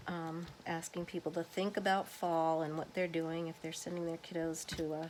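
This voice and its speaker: A soft-spoken woman with a fairly low pitch and flat, monotone intonation. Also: moderate pace. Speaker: crafter, home daycare provider. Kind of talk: craft tutorial. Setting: at home, kids sleeping. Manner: soft-spoken, quiet; casual with many fillers.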